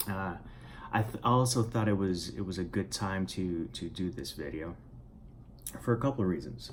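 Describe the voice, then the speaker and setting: The voice has a Spanish accent and vocal fry at a moderate pace. Room echo is audible. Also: man. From Puerto Rico. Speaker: writer and vlogger. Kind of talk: casual vlog monologue. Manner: halting, many fillers and repetitions.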